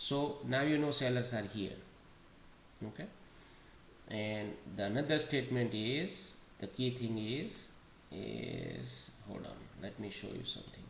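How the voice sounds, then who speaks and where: A quiet man speaks fairly slowly at medium pitch with ordinary pitch variation and long, frequent pauses. Audible room echo and noticeable background noise are present. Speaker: day trading educator. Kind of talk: market analysis walkthrough. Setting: home recording. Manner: slow, quiet.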